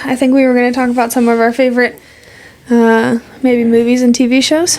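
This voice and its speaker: Fairly quick, monotone speech from a woman with a high pitch, against noticeable background noise. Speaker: podcast co-host. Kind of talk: casual chat. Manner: fast.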